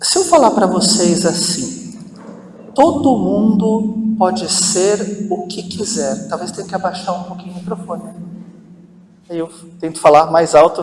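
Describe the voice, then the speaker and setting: A man with a high pitch talks at a fairly slow pace, leaving long, frequent pauses and swinging widely in loudness. Audible room echo and noticeable background noise fill the recording. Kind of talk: parish talk to an audience. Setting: hall with audience, using microphone.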